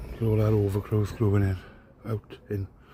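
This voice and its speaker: Somewhat breathy and dark, mellow in tone, this voice carries a Welsh accent, fairly even intonation and a moderate pace. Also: man. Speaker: urban explorer vlogger. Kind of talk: casual vlog commentary. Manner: whispering.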